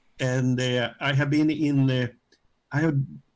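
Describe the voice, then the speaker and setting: Fairly even in intonation, a man speaks with a Swedish accent. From Sweden. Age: 70s. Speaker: retiree. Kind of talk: interview. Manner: halting. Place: home room. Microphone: video call.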